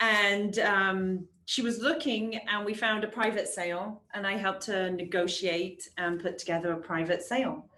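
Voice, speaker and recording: Delivered with an English accent, the speech moves at a moderate pace with hardly any pauses and ordinary pitch variation. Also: woman, medium pitch for a woman. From England. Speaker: real estate agent. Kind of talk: casual interview.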